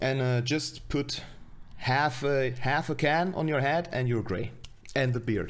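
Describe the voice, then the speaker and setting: The speaker has a non-native accent and talks at a fairly slow pace. Loudness stays very even, with ordinary pitch variation. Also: man, medium pitch for a man. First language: not English. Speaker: streamer reacting to own web series. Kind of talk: casual stream commentary. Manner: halting.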